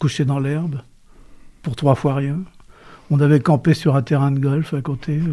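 With long, frequent pauses, a man speaks at a fairly high pitch in a dark, mellow, somewhat breathy tone with fairly even intonation. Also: fairly slow pace. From western France, Cholet (Maine-et-Loire). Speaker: retired journalist and author. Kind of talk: interview.

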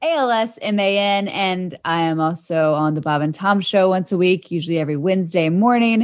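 In a very clean recording with a silent background, a woman speaks in a normal speaking voice with ordinary pitch variation. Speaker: radio show producer and podcast announcer. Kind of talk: casual chat.

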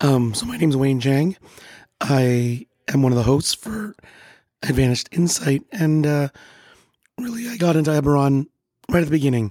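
In a dry, close sound with no echo, a man with a fairly high pitch and a dark, mellow tone speaks at a moderate pace with lively intonation and long, frequent pauses. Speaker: podcast co-host. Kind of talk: casual chat.

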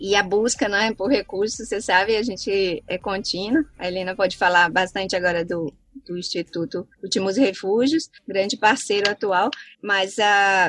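This woman has a medium pitch and ordinary pitch variation, speaking at a moderate pace. The sound is dry and close, with no echo. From Brazil, Southeast interior. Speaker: biologist and researcher. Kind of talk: interview. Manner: halting.

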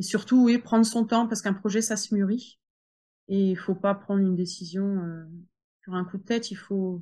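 A woman speaks at a medium pitch and a moderate pace, her tone dark and mellow and somewhat breathy. Her intonation stays fairly even against a quiet background. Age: 40s. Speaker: home sales entrepreneur. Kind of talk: interview.

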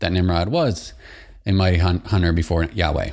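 A man's very deep, low voice with an American accent, somewhat breathy, at a moderate pace with ordinary pitch variation, on a very clean recording with a silent background. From Michigan, US. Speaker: podcast host. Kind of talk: solo podcast monologue. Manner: casual, with frequent fillers.

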